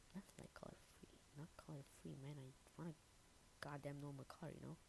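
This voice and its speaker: A woman with a non-native accent speaks in a very deep, low pitch with vocal fry. Her intonation is monotone and flat. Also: moderate pace. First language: not English. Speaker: game developer streamer. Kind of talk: live coding stream tutorial. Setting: live stream. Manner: casual, hesitant with many fillers.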